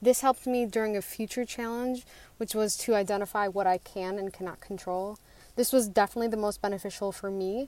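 A woman's ordinary speaking voice at medium pitch, with an American accent, on a very clean recording with a silent background. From Western New York. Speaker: community member. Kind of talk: testimony.

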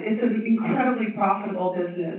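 Noticeable background noise and audible room echo surround a man whose high-pitched voice holds a monotone, flat intonation. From Tibet. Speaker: impact investor. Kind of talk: panel discussion.

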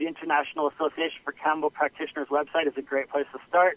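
In a Western Canadian accent, a man speaks with monotone, flat intonation. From Okanagan, British Columbia, Canada. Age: 30s. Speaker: health and wellness practitioner. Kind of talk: interview. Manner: hesitant, many fillers.

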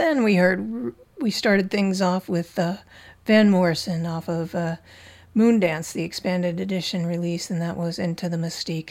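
A woman talks in a relaxed tone at medium pitch with ordinary pitch variation. The recording is very clean, with a silent background. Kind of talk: community radio DJ patter between songs, introducing and back-announcing tracks.

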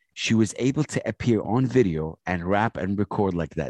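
In an Arabic accent, a man speaks at a moderate pace with lively intonation, in a dry, close sound with no echo and a quiet background. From Saudi Arabia (Jeddah). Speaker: hip hop radio host and producer. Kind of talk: interview conversation. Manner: loud; animated.

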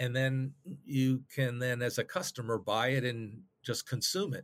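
A man's medium-pitched voice with an American accent at a fairly slow pace, on a very clean recording with a silent background. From US South. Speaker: retired tech executive, board member. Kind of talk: interview. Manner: halting, many fillers.

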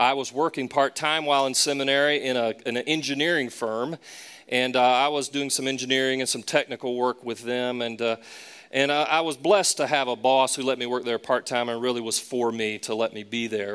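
A man with a Southern US accent at a medium pitch, fairly quick in pace, with fairly even intonation. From US South, Charlotte. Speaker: pastor. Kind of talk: sermon.

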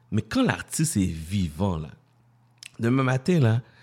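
A man talks at a moderate speed. The recording behind him is very clean and the background silent. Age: 40s. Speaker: radio host. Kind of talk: casual radio talk.

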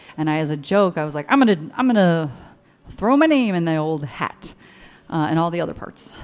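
A woman has an unremarkable speaking voice with a fairly low pitch. She talks at a fairly quick pace with lively intonation. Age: 30s. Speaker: writer and comedian. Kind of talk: casual chat. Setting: studio in a hotel lobby.

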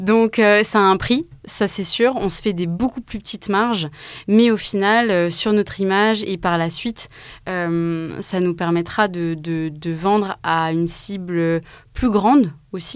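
A woman talks very slowly at a medium pitch. Her pitch shows ordinary variation. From Alsace, France (Mulhouse). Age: 20s. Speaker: start-up co-founder. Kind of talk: interview.

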